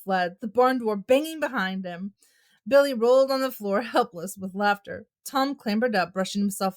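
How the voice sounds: The background is quiet. The pitch varies in an ordinary way in this natural reading voice.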